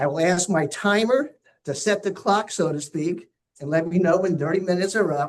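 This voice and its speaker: A man with a high pitch talks at a moderate pace, his pitch variation ordinary. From New Jersey. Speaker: local historian and columnist. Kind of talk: lecture. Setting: auditorium with audience, also on Zoom.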